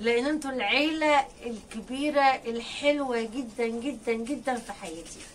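A woman's high-pitched voice over light background noise. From Egypt. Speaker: poultry-raising vlogger. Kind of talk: casual vlog talk to viewers. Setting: rooftop. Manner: animated. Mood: joyful, warm. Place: farm machine. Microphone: phone near.

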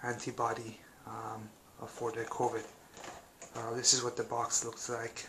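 There is loud background noise. A man speaks at a moderate pace. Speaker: home tester demonstrating kit. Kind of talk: tutorial.

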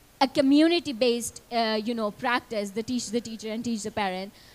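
A woman talks at a fairly quick pace with a high pitch. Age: young. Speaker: youth climate advocate; panelist. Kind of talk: panel discussion. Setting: stage with audience. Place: hall. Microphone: handheld.

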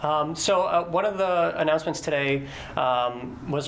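Light background noise sits behind the speech. A man talks at a fairly slow pace. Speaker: guest. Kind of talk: interview answer. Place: studio.

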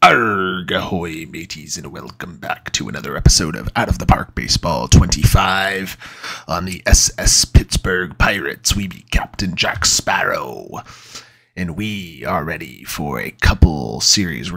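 Putting on a character voice, a man growls out raspy, very deep, low tones at a fairly slow pace. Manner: playful roleplay.

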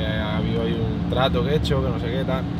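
Loud background noise surrounds a man speaking at a fairly slow pace. The sound is dry, with no echo. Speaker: car vlogger. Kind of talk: casual vlog chat. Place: car. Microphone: phone near.

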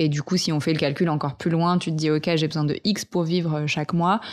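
A woman speaks with a very deep, low pitch. Her intonation stays fairly even against a quiet background. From French Alps, Vercors. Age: 20s. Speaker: eco entrepreneur and author. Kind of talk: casual interview. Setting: host's living room.

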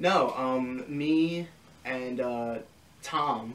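This man speaks at a medium pitch with an American accent. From Long Island, New York; New York. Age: 20s. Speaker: record label founder; interviewee. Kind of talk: casual interview. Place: home room.

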